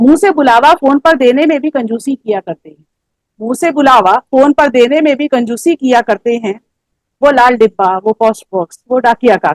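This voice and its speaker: Recorded dry and close with no echo, a woman talks in a high pitch with lively intonation. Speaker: poet. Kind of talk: poetry reading. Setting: online poetry gathering. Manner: emotional, nostalgic.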